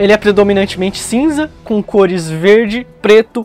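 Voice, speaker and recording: Faint music plays in the background as a man speaks at a fairly slow pace, with a high pitch, ordinary pitch variation, and a dry sound with no echo. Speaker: presenter. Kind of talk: educational explainer. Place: shop. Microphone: lapel.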